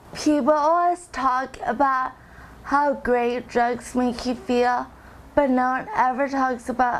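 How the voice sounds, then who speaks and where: The woman's intonation is fairly even. She has a high pitch. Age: 20s. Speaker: recovering drug user. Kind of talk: testimony. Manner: slow.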